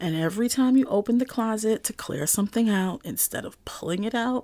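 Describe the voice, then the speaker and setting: Here a woman talks in an animated tone. Her voice is fairly high and her pace fairly quick. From Brooklyn, New York. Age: 40s. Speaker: podcast host, chef and writer. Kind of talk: casual solo monologue.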